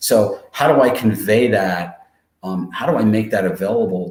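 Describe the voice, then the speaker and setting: A man talks in an unremarkable speaking voice at a moderate pace. His pitch varies in an ordinary way. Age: 60s. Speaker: webinar presenter and career coach. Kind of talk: webinar presentation. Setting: livestream webinar. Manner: many filler words and restarts.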